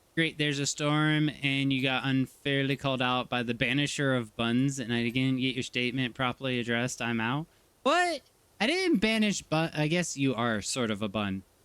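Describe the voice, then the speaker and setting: Here a man has an unremarkable speaking voice at a medium pitch, with ordinary pitch variation, very even loudness and a moderate pace. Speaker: streamer. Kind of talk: casual chat.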